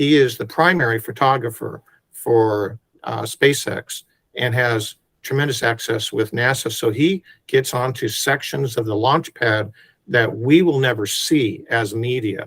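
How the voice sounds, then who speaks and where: In a dry, close sound with no echo, a man with an ordinary speaking voice talks at a fairly slow pace with medium pitch and ordinary pitch variation. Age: 60s. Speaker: photographer. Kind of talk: interview.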